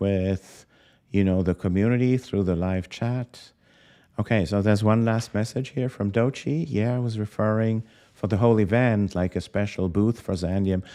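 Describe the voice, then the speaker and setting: Over a quiet background, a man with a non-native accent speaks at a moderate pace in a fairly low pitch, with a dark, mellow tone and ordinary pitch variation. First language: not English. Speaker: crypto podcast host. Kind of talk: live stream interview. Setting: live stream. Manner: halting.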